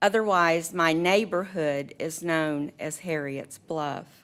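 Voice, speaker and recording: With an unremarkable speaking voice, a woman speaks at a fairly low pitch and fairly slow pace with ordinary pitch variation on a very clean recording with a silent background. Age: 60s. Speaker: resident speaking in opposition. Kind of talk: public comment. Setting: county board meeting.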